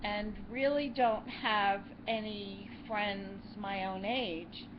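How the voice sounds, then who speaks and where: A woman speaks very slowly at a medium pitch, with fairly even intonation. Noticeable background noise and audible room echo are present. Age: 60s. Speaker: YouTube co-host. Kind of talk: casual chat.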